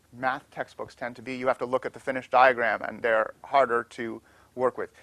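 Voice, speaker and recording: At a fairly quick pace, a bright, sharp tone comes through in a very clean recording with a silent background and a dry, close sound with no echo. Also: man. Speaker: law professor. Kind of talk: lecture. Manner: fast.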